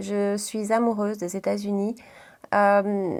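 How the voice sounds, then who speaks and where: A woman is speaking. Her pitch is medium. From Belgium, Brussels region. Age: 30s. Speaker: beauty vlogger. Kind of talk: casual chat. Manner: hesitant, many fillers.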